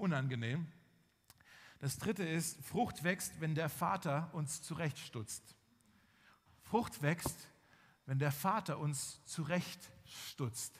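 There are long, frequent pauses as a man speaks. His pitch is fairly high, with ordinary variation. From Swabia, Germany (village near Tübingen). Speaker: pastor. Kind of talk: sermon. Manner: hesitant with fillers.

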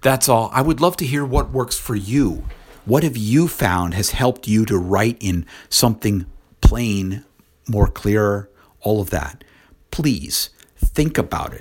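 In a very clean recording with a silent background, a man with an ordinary speaking voice talks at a fairly slow pace, medium in pitch, with lively intonation. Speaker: podcaster. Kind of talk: solo commentary.

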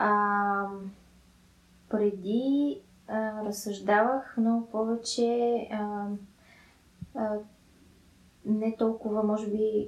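A woman with a fairly high pitch and monotone, flat intonation. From Bulgaria, Sofia. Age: 20s. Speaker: podcast co-host. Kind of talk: casual chat.

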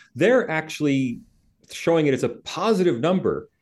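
At a moderate pace, a man talks with a fairly high pitch and very wide pitch swings. Vocal fry runs through his voice. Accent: American. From United States. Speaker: associate professor of sociology and author. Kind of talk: interview.

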